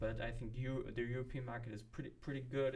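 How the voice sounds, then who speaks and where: With a German accent, a man speaks fairly quickly in a somewhat breathy, medium-pitched voice that stays monotone and flat. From Germany. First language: not English (third language). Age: 30s. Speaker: vlogger, marketing professional. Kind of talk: casual personal vlog. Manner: hesitant, with fillers.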